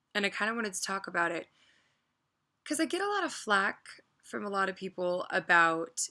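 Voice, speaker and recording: This is a woman with a medium pitch and a bright, sharp tone. She speaks quietly at a moderate pace. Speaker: vlogger. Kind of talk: casual rant vlog.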